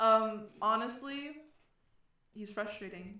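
The tone is bright and sharp. Room echo can be heard around it. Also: woman. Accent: American. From New England, US. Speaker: podcast co-host. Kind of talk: casual chat.

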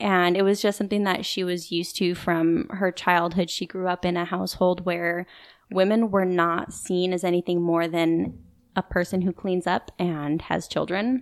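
This is a normal speaking voice from a woman, fairly low in pitch, with fairly even intonation and a moderate pace. The recording is very clean, with a silent background. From US West, Idaho (moved around). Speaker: military widow. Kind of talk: interview, personal testimony. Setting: in-person recording.

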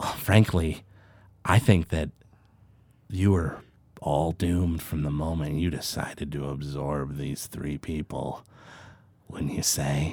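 A man's put-on character voice, very deep and low, cackling, with fairly even intonation at a fairly slow pace and long, frequent pauses. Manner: cackling, taunting.

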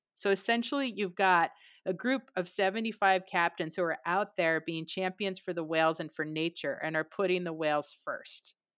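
In an ordinary speaking voice, a woman talks at a moderate pace with hardly any pauses, a medium pitch and ordinary pitch variation, on a very clean recording with a silent background and a dry, close sound with no echo. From San Francisco Bay Area, US West Coast. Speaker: whale researcher and conservationist. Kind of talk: interview.

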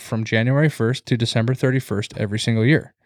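A man with a normal speaking voice at medium pitch, with ordinary pitch variation, is heard on a very clean recording with a silent background. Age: 20s. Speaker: podcast host. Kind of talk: casual chat.

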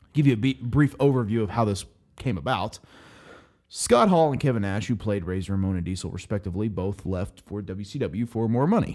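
A man with an American accent has a plain, everyday voice, fairly low in pitch, with lively intonation and a fairly quick pace. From Oklahoma, US. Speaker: podcast host. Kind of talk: casual chat.

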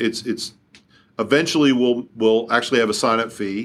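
The speaker has a Kentucky accent and talks at a very fast pace with fairly even intonation, on a very clean recording with a silent background. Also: man. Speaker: company CEO. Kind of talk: interview.

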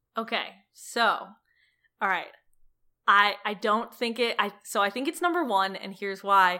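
A woman with a medium-pitched voice and an American accent, lively intonation, a fairly slow pace with long, frequent pauses, on a very clean recording over a silent background. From Cleveland, Ohio, US Midwest. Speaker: comedian and TV writer. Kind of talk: interview. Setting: at home, living room floor.

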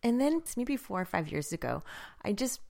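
A woman's warm, enthusiastic tone with very wide pitch swings, in a very clean recording with a silent background. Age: 40s. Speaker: health coach. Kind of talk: solo podcast monologue. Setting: home, by a wood fire.

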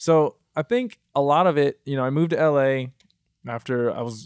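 With an American accent, a man speaks in an ordinary speaking voice at a medium pitch with ordinary pitch variation. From Michigan, US. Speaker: musician and multi-disciplinary artist. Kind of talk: casual interview. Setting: studio.

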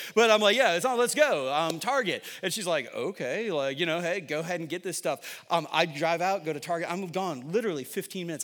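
Bright and sharp in tone, a man speaks with an American accent at a high pitch, his intonation lively. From upstate New York (Syracuse). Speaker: pastor. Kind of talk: sermon. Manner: casual, conversational with fillers.

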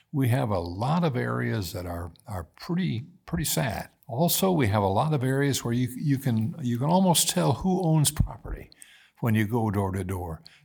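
With very wide pitch swings, a man talks in a somewhat breathy voice. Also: medium pitch for a man, moderate pace. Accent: American. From US Midwest, Indiana. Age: 80s. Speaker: former mayor. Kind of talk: casual interview conversation.

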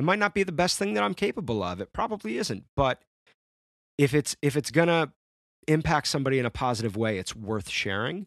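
A man talks at a very fast pace in an American accent, medium in pitch with very wide pitch swings. The sound is dry and close with no echo against a quiet background. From Central New York (Syracuse). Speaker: musician and songwriter. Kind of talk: casual chat.

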